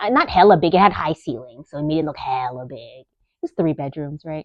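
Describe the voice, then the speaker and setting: A woman with a Bay Area accent at a moderate pace. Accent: Californian English, Bay Area. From US West Coast, East Side San Jose, California. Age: 30s. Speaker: podcast host, nurse. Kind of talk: casual monologue. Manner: rambling, conversational, self-interrupting.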